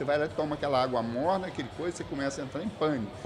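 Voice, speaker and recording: Noticeable background noise sits behind a man talking with lively intonation. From Brazil, Espírito Santo (Castelo). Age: 60s. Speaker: environmental scientist and professor. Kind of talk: podcast interview.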